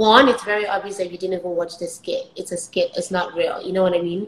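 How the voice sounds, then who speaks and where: A woman's somewhat breathy voice at a fairly quick pace, with lively intonation. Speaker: software engineer and skit creator. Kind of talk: casual interview. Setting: live stream. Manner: fast.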